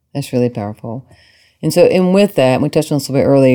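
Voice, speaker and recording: With a Southern US accent, a woman with a very deep, low pitch speaks in a warm, enthusiastic tone. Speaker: podcast host and psychotherapist. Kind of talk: casual interview conversation.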